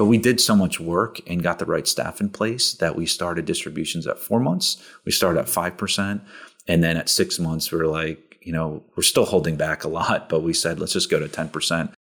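The recording is very clean, with a silent background. A man with a very deep, low pitch speaks at a fairly quick pace with ordinary pitch variation. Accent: American. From New Jersey. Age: 40s. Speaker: real estate investor. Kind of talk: podcast interview.

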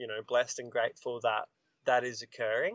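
Lively intonation from a man in an Australian accent. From Australia, Queensland. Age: 20s. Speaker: singer-songwriter. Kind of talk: casual chat.

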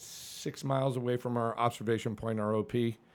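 A man with an American accent, an ordinary speaking voice, medium pitch, fairly even intonation and a moderate pace. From New England, Suffield, Connecticut. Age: 50s. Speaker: fire captain and army veteran. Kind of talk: casual interview, life story.

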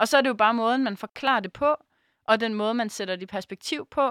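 Recorded very cleanly against a silent background, a woman speaks at a fairly high pitch with ordinary pitch variation in a plain, everyday voice, the sound dry and close with no echo. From Denmark, Aarhus. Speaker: radio host. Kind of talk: casual chat.

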